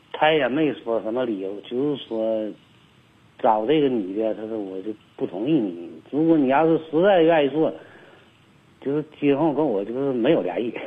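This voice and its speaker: Here a man speaks at a medium pitch with lively intonation. His pace is moderate. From Liaoning, northeast China (Tieling). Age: 50s. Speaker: caller. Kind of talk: phone-in confession. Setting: phone call. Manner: halting.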